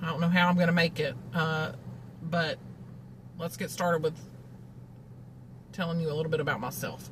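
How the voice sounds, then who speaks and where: A woman with a Southern US accent talks at a fairly quick pace in a very deep, low monotone with vocal fry. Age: 40s. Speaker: vlogger, cancer patient. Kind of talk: casual monologue. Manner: conversational, many fillers.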